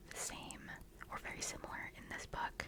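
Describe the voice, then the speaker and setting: The voice is whispering. Noticeable background noise runs underneath. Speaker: ASMR book content creator. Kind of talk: casual chatty talk to camera about books. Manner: whispered, soft.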